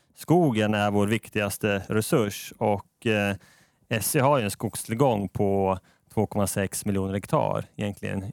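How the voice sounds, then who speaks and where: On a very clean recording with a silent background, a man with a fairly low pitch speaks very slowly in a dry, close sound with no echo. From Sweden, Norrköping. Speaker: finance manager, engineer by training. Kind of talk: casual podcast interview.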